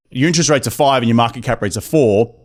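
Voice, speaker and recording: In a very clean recording with a silent background, a man with an Australian accent speaks at medium pitch with ordinary pitch variation. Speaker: real estate investor. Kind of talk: podcast interview. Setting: studio.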